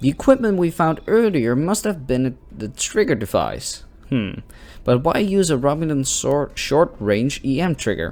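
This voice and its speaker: A fairly high-pitched man with a non-native accent and very wide pitch swings, on a very clean recording against a silent background. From Netherlands. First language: not English. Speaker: gaming youtuber. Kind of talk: let's play commentary with reading aloud. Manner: slow reading.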